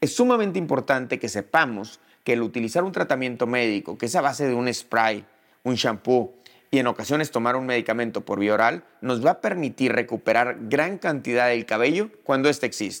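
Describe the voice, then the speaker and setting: In a very clean recording with a silent background, a man with a plain, everyday voice speaks fairly quickly at a medium pitch, with ordinary pitch variation. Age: 40s. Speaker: dermatologist. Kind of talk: educational monologue.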